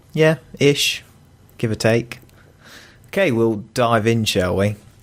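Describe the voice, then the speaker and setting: A man speaks with a British accent at a very slow pace. His medium pitch shows ordinary variation, and his loudness stays very even. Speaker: podcast co-host. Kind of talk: casual chat.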